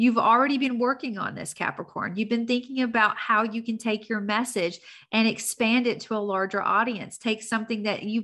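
Speaking at a fairly quick pace, a woman has a Tennessee accent and a bright, sharp tone. Her pitch is fairly high, and her intonation stays fairly even. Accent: Southern US (Tennessee). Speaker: astrologer, podcast host. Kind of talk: weekly horoscope monologue. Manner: casual, conversational.

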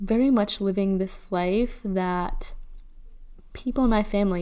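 A woman with a Chicago accent speaks at a medium pitch and a fairly slow pace. Her tone is dark and mellow, and the room echo is audible. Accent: Chicago American English. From Chicago, US Midwest. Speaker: podcast host. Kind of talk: personal storytelling. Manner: casual, laughs often.

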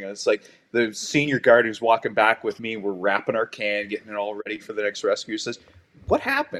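A man speaks with a Canadian accent in a normal speaking voice, at medium pitch with ordinary pitch variation. His pace is fairly quick, and the sound is dry and close with no echo. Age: 50s. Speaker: paramedic and lake lifeguard. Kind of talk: casual interview chat.

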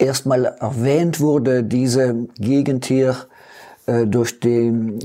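Here a man speaks with a dark, mellow tone. His intonation stays fairly even. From East Belgium (German-speaking community, St. Vith). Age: 70s. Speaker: retired mayor. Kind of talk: interview.

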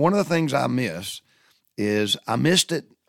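A man speaks with a Southern US accent. His pace is fairly quick. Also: dry, close sound with no echo. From US South. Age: 60s. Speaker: podcast host. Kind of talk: storytelling monologue. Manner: halting.

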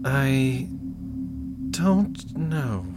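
A medium-pitched man mumbles in a put-on character voice with a nervous tone. Loud background noise fills the recording. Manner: mumbling, curt, nervous.

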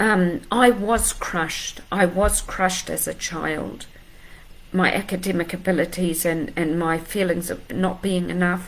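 A woman's fairly low-pitched voice at a fairly slow pace, with noticeable background noise. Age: 50s. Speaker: life coach. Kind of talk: motivational talk to camera.

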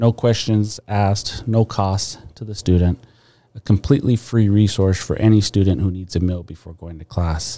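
In an American accent, a man speaks in a fairly low pitch with a dark, mellow tone, ordinary pitch variation and big swings in loudness, and the sound is dry and close with no echo. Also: moderate pace. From San Diego, California (Barrio Logan). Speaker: college president. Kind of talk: interview. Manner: articulate, measured with frequent um fillers.

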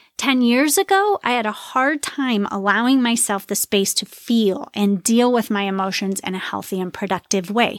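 A woman with a fairly high pitch and ordinary pitch variation speaks at a moderate pace, the sound dry and close with no echo in a very clean recording over a silent background. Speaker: podcast host and wellness coach. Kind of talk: solo podcast monologue. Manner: loud.

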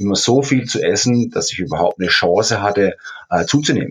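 Using a normal speaking voice, a man talks at a fairly quick pace. His medium pitch carries lively intonation. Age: 50s. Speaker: fitness champion and personal trainer. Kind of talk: interview.

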